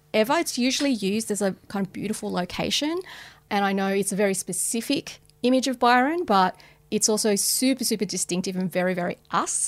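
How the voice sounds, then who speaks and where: With an Australian accent, a woman speaks at a medium pitch and a fairly quick pace with lively intonation, on a very clean recording with a silent background. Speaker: streaming content executive. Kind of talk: interview. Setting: studio.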